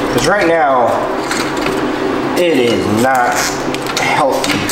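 Loud background noise and audible room echo surround a man speaking at a very slow pace. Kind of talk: casual repair vlog narration. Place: garage.

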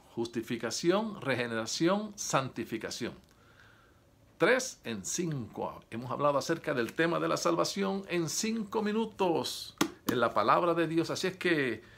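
A man's fairly high-pitched, fairly slow voice with very wide pitch swings over noticeable background noise. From Puerto Rico. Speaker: preacher. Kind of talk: sermon. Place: home room. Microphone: phone near.

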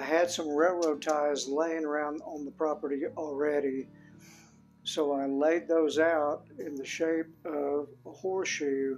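Faint music plays in the background as a man speaks at a fairly slow pace with fairly even intonation. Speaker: DIY channel host. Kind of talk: tutorial. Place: home room. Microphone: phone near.

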